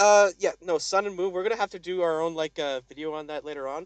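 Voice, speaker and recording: With a dry, close sound and no echo, a man talks at a fairly quick pace in a high voice with an animated tone. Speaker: gaming podcast co-host. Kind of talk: casual chat.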